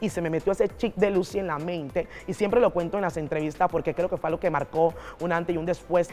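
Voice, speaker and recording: Over background music, a woman talks at a very fast pace in a fairly low voice with fairly even intonation. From Panama, Colón province. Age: 40s. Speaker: pastor. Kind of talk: interview testimony. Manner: oratorical.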